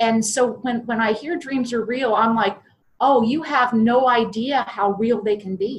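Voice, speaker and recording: A woman's fairly high voice at a fairly slow pace, with fairly even intonation and an unremarkable speaking voice. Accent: American. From US Midwest, southern Ohio. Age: 60s. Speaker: podcast guest, IT salesperson and business owner. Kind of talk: interview.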